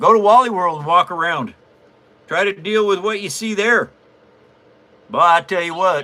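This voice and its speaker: Against noticeable background noise, a man speaks in a raised, projected voice with a high pitch and ordinary pitch variation. He keeps a moderate pace but takes long, frequent pauses. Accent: American. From US Pacific Northwest, near Olympia, Washington. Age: 70s. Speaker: papercraft livestreamer. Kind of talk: casual livestream chat. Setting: live stream.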